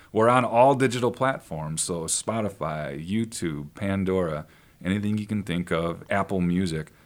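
Very clean recording, silent background, with an unremarkable speaking voice in an American accent. The pace is moderate and the pitch variation ordinary. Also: man, fairly low pitch for a man. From Northern Illinois (Sandwich). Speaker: singer-songwriter, band leader. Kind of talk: radio interview. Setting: radio studio.

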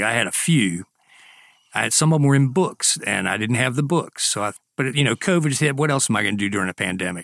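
A man with a South Carolina accent talks at a very fast pace, his intonation lively and his tone bright and sharp. The recording is very clean with a silent background, and the sound is dry and close with no echo. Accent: South Carolina Southern. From US South, Greenwood, South Carolina. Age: 60s. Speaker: author. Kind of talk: casual chat.

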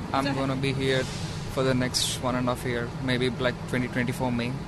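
Audible room echo and noticeable background noise surround a man speaking at a moderate pace in a medium pitch. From India, Hyderabad. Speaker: international student. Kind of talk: interview. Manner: halting.

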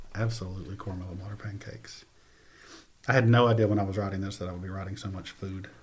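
At a very fast pace, a man speaks in a fairly low, somewhat breathy voice with fairly even intonation and big swings in loudness. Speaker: poet and teacher. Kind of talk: poem performed, reading own verse aloud. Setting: studio. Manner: vivid, lyrical, measured storytelling cadence.

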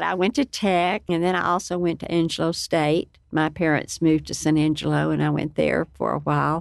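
A woman with a West Texas accent at a moderate pace, hardly pausing, over a quiet background. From Lubbock, Texas. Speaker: nonprofit director. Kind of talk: radio interview.

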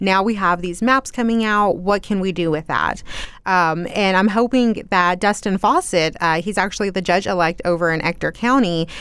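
In an American accent, a woman talks at a moderate pace with an ordinary speaking voice. Her pitch sits in the medium range, with ordinary pitch variation. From Texas, South Plains. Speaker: news reporter. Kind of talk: radio interview. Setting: studio.

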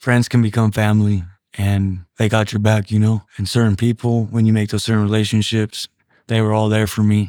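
A man with an ordinary speaking voice and medium pitch is heard on a very clean recording with a silent background. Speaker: prison baseball player.

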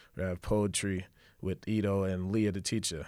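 On a very clean recording with a silent background, a man with a New York accent speaks at a moderate pace in a very deep, low, monotone, flat voice. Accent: New York City. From Brooklyn, New York. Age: 20s. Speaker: fashion event co-founder. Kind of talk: casual interview.

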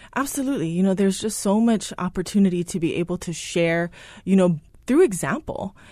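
A woman's dark, mellow voice at a very fast pace, with ordinary pitch variation and a quiet background. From Hawaii. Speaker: startup co-founder. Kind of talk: radio interview. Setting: studio.

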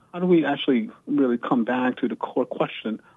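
With a plain, everyday voice, a man talks at a moderate pace with fairly even intonation. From US South, Virginia. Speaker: historian and university scholar. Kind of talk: radio interview.

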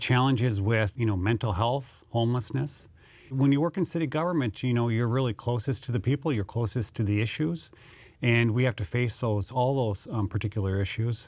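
Against a quiet background, a man talks at a fairly quick pace. His loudness stays very even, with ordinary pitch variation. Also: medium pitch for a man. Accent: Upper Midwest. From North Dakota (Mandan). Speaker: city administrator. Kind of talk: interview.

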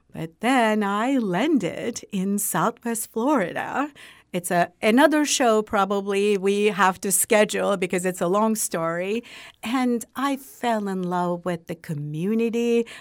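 A woman with a Turkish accent speaks at a fairly slow pace and medium pitch, with ordinary pitch variation. The recording is very clean, with a silent background. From Turkey. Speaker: university president. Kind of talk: interview. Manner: halting.

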